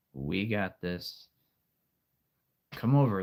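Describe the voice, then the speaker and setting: A man speaks at a very slow pace. His tone is calm. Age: 30s. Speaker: live streamer. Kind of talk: casual live stream chat.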